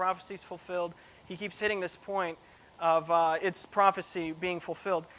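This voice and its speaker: A man with a high pitch speaks in a raised, projected voice, his tone bright and sharp and his intonation fairly even. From Russia, moved to US as a child; grew up in Cincinnati and Seattle. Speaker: preaching student. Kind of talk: sermon; personal testimony. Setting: church. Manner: casual, many fillers.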